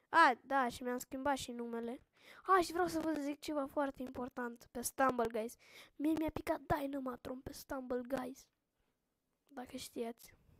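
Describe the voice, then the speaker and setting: A woman speaks at a high pitch, fairly slowly, with fairly even intonation. The sound is dry and close, with no echo. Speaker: gaming youtuber. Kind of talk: gameplay commentary.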